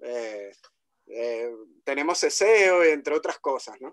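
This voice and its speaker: In a Caribbean Spanish accent, a man speaks at a fairly slow pace with lively intonation, the sound dry and close with no echo. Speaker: guest commentator. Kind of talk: conversation.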